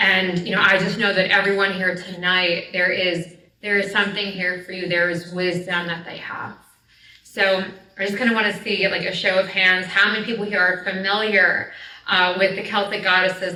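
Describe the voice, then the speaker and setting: A woman with an American accent speaks at a fairly quick pace in a medium pitch and flat, monotone intonation, with noticeable background noise and audible room echo. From New Jersey, US. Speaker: storyteller and spiritual teacher. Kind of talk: lecture. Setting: live event with audience. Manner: casual, filler-heavy.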